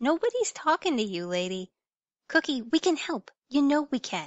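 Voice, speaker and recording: A female-sounding voice in a put-on character voice speaks at a moderate pace. The pitch is high, with very wide swings. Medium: audio drama. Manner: exasperated, festive oaths.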